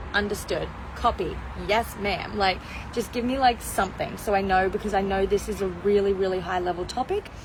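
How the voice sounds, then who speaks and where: A woman speaks in an animated tone at a fairly quick pace, with noticeable background noise behind her. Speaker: mindset coach. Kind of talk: live stream motivational talk. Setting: outdoors on balcony. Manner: fast.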